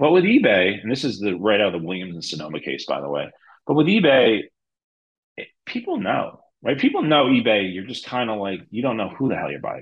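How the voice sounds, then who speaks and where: A man with a New Jersey accent, fairly quick, with vocal fry, very wide pitch swings and big jumps in loudness. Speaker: e-commerce lawyer. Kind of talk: interview.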